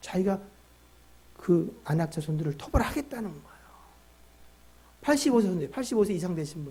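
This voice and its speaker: Long, frequent pauses break up speech with big swings in loudness and very wide pitch swings. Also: man, high pitch for a man. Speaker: pastor. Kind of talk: sermon. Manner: fast.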